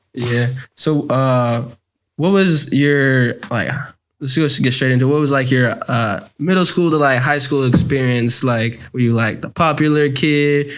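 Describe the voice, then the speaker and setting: The speech moves at a fairly slow pace with ordinary pitch variation while music plays in the background. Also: man, medium pitch for a man. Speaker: podcast host. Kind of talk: casual interview chat.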